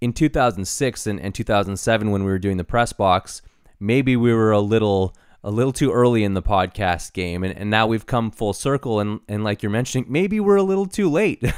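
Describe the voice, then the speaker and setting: A man's unremarkable speaking voice at medium pitch and a fairly quick pace, dry and close with no echo, on a very clean recording with a silent background. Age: 30s. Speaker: podcast host, former broadcaster. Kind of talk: casual chat.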